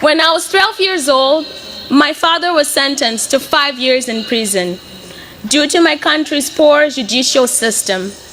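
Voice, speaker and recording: Lively intonation moves through this fairly slow delivery, with noticeable background noise behind it. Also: woman, high pitch for a woman. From Mozambique, Beira. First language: Portuguese. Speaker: graduating student. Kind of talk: commencement speech.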